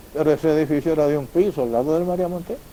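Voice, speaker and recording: A man's fairly high voice rushes along at a very fast speed. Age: 70s. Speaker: son of a local benefactor, storyteller. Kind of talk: public talk, reminiscence.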